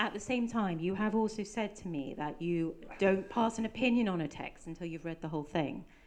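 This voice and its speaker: Speaking in a plain, everyday voice, a woman moves at a fairly quick pace with hardly any pauses, her medium pitch showing ordinary variation. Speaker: podcast host interviewer. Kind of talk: interview with live audience. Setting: bookshop event with audience.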